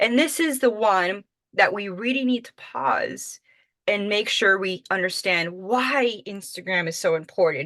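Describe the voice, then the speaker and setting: With a Miami accent, a woman with a medium pitch and a bright, sharp tone speaks at a fairly slow pace, her lively intonation marked by big swings in loudness. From Miami, Florida. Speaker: social media marketing trainer. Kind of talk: webinar presentation.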